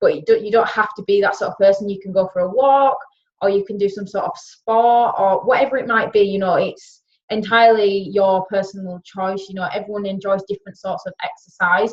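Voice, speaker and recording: A woman with a Yorkshire accent, medium-pitched, at a fairly quick pace with fairly even intonation. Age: 20s. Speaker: wellness coach. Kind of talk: webinar talk.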